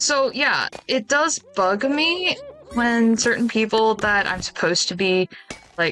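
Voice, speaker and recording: Music plays in the background. The speech is very slow, with lively intonation. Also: woman, fairly high pitch for a woman. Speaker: game streamer. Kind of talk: casual chat. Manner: usually quiet.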